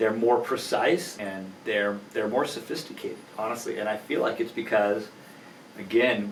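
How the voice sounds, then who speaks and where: A man talks at a moderate pace, and the room echo is audible. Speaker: attorney and entrepreneur. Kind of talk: podcast interview. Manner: halting.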